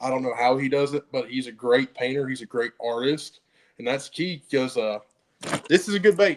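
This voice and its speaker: Here is a man at medium pitch. His pitch varies in an ordinary way. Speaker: fishing guide / bass angler. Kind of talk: podcast interview. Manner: fast; halting, repetitive restarts.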